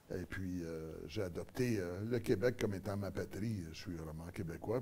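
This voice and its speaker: A man speaks with a Quebec accent in a very deep, low pitch, his tone dark and mellow and his pitch variation ordinary. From Quebec (Montreal), born in Acadian New Brunswick. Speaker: mayor and political candidate. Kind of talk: studio interview. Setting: TV studio. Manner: hesitant, many fillers and repetitions.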